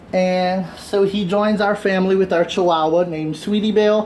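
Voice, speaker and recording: A man talks at a fairly quick pace. Noticeable background noise can be heard behind him. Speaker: fitness instructor. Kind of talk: workout instruction.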